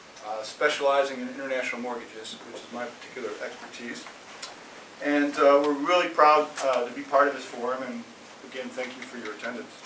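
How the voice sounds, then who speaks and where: A man with an American accent talks at a fairly quick pace. Noticeable background noise and audible room echo are present. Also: medium pitch for a man, fairly even intonation, big swings in loudness. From United States. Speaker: financial advisor. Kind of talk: conference opening speech.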